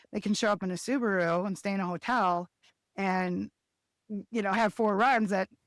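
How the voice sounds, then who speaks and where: A woman talks in a plain, everyday voice at medium pitch, at a moderate pace with fairly even intonation. The recording is very clean with a silent background and a dry, close sound with no echo. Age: 50s. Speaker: skijoring race organizer and competitor. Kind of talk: podcast interview.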